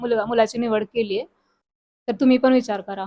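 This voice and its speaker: This woman's voice sits at a high pitch. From Maharashtra, Satara district. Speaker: farmer's wife, matchmaking client. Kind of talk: testimonial interview.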